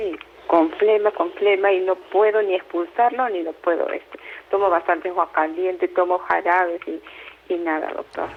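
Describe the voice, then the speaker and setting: Delivered at a moderate pace with fairly even intonation, the speech has noticeable background noise behind it. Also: woman, medium pitch for a woman. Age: 60s. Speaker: caller. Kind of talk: phone-in consultation. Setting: phone call. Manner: halting.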